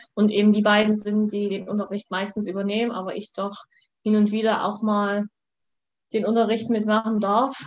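Her pitch is fairly high for a woman. She speaks in a flat monotone. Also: moderate pace. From Saxony, Germany (Vogtland). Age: 20s. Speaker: student and competitive eventing rider. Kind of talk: interview. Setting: video call.

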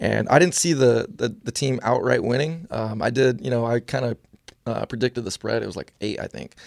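A man with an American accent speaks at a fairly quick pace in a dry, close sound with no echo. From US West Coast, San Jose area, California. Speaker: football coach. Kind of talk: casual sports chat interview. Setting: studio.

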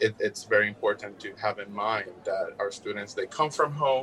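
A man with a Puerto Rican accent speaks at a moderate pace over noticeable background noise. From Puerto Rico. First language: Spanish. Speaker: music educator and graduate researcher. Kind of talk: interview.

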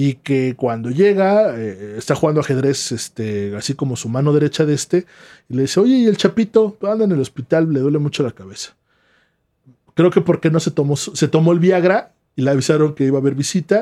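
A fairly high-pitched man's voice, dark and mellow in tone, at a fairly quick pace. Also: lively intonation. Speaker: podcast co-host. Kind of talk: storytelling.

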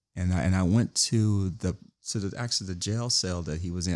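A man speaks at a fairly quick pace with an American accent and a fairly low pitch, in an ordinary speaking voice. His pitch variation is ordinary, and the recording is very clean with a silent background. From Los Angeles, US. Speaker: author and former actor. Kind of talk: interview.

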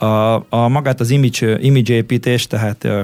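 A man talks in an ordinary speaking voice at a medium pitch. His intonation is fairly even and his pace fairly slow. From Hungary, Székesfehérvár. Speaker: DJ and music producer. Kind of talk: interview.

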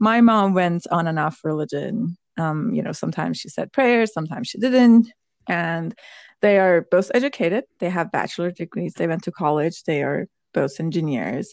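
With a Persian accent, a woman talks at a moderate pace. Her fairly low pitch carries lively intonation. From Iran. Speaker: podcast co-host, tech worker. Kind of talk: casual chat.

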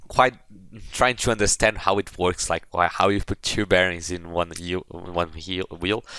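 A man's bright, sharp tone with a Portuguese accent, at a moderate pace. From Brazil. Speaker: former student competitor. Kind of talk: casual chat. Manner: halting.

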